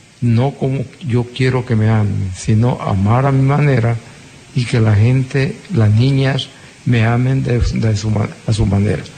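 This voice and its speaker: A man talks at a very slow pace with a medium pitch and ordinary pitch variation. Noticeable background noise runs underneath. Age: old. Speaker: agronomist, university lecturer, radio guest. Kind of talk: personal testimony on radio. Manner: halting.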